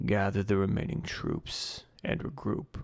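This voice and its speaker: Raspy and fairly low in pitch, a man's put-on character voice comes through. His delivery is fairly slow. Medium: read story. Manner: still, calm, ominous.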